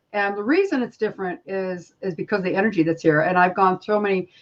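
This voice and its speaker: At a fairly quick pace comes an unremarkable speaking voice. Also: woman. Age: 60s. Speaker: spiritual healer. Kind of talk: casual chat.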